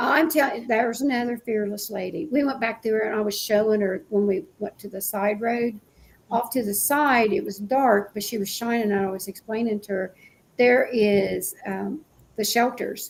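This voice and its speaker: A woman speaks at a moderate pace. Her fairly high voice shows ordinary pitch variation. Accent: Appalachian. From West Virginia. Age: 60s. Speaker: paranormal show host. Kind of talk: casual chat. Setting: live stream.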